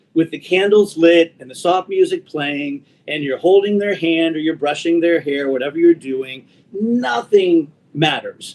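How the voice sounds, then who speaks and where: With ordinary pitch variation, a man talks fairly slowly in a high pitch. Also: big swings in loudness. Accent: American. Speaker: radio show host. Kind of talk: interview answer. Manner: reflective, sincere.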